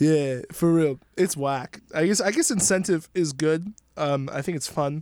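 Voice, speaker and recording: A man with an unremarkable speaking voice and an American accent, fairly high in pitch, with ordinary pitch variation, at a fairly slow pace, on a very clean recording with a silent background. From US Northeast, New York (Somers). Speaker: podcast guest. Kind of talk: casual chat.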